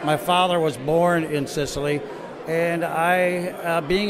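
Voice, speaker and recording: Over noticeable background noise, a man with an American accent speaks in a high pitch with fairly even intonation. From US Northeast, Rochester, New York. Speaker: painter and photographer. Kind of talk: interview at gallery opening. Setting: art gallery opening. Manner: halting, many fillers. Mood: thoughtful, earnest. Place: hall. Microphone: handheld.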